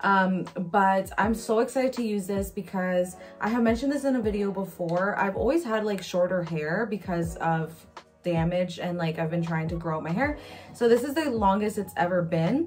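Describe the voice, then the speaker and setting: A woman talks at a moderate pace while faint music sounds in the background. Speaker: beauty vlogger. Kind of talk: casual product review vlog. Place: home room. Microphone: phone near.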